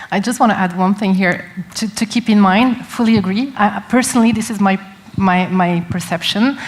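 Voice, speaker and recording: In a non-native accent, a woman speaks at medium pitch and a moderate pace with fairly even intonation, against noticeable background noise. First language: not English. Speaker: tech company representative. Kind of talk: panel discussion.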